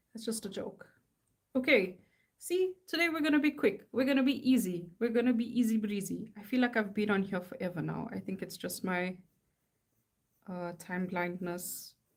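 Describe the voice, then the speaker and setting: This woman's voice is somewhat breathy and sits at a medium pitch. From South Africa. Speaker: artist. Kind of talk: casual live-stream chat while drawing. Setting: live stream at home. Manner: casual, rambling with fillers.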